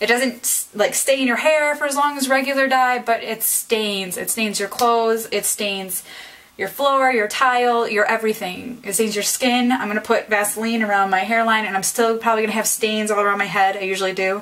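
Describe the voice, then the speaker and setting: Fairly high pitch from a woman at a moderate pace, fairly even in intonation, with noticeable background noise. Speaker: beauty vlogger. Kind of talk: tutorial. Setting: bathroom at home. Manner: casual, hesitant with ums.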